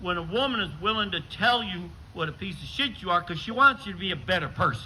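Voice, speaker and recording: Over noticeable background noise, a man talks at a very fast pace in a high voice with lively intonation. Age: 60s. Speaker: stand-up comedian. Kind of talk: stand-up.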